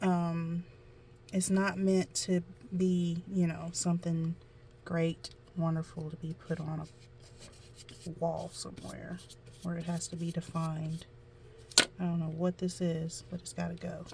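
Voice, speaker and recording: Speaking at a fairly slow pace with long, frequent pauses, a woman with an American accent has a fairly low pitch, a dark, mellow tone, a somewhat breathy quality, and monotone, flat intonation. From US South. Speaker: amateur painter, tutorial vlogger. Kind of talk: casual painting tutorial.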